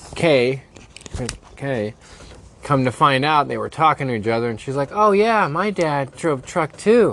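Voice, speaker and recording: Over noticeable background noise, a man speaks at a fairly high pitch. His pace is fairly slow, with very wide pitch swings. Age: 30s. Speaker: podcast co-host. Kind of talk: casual chat.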